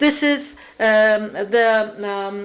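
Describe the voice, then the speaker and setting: A woman's fairly high pitch with lively intonation. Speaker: panelist on urban mobility. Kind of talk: panel discussion. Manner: halting.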